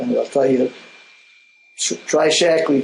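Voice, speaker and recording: A man speaks over noticeable background noise. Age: 70s. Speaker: Crohn's disease patient. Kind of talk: interview. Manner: halting.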